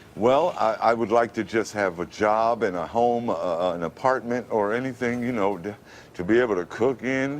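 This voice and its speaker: In a New York accent, a man talks at a moderate pace and medium pitch with ordinary pitch variation. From Brooklyn, New York. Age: 50s. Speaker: radio announcer. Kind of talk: TV interview answer.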